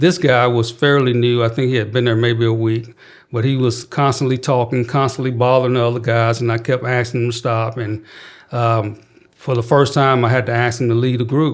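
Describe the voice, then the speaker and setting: A man of medium pitch with a Southern US accent, talking fairly quickly in a flat monotone, in a very clean recording with a silent background. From Mississippi. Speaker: youth crisis prevention worker. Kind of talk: interview. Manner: calm, even tone.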